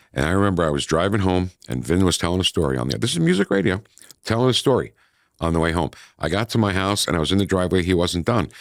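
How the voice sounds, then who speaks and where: On a very clean recording with a silent background, a man talks at a very fast pace in a very deep, low pitch with vocal fry. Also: lively intonation. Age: 60s. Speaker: radio host and former DJ. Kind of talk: casual interview chat. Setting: radio studio.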